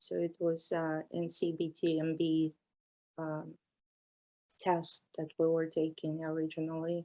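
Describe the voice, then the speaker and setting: With a non-native accent, a woman speaks at a fairly low pitch. Her delivery is monotone, flat and fairly slow, with long, frequent pauses. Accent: foreign. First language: not English. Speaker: massage therapist and instructor. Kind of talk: interview.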